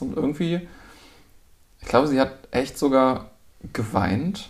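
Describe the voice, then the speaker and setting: Vocal fry runs through this man's speech at a moderate pace. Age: 40s. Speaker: visiting friend. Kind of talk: casual chat.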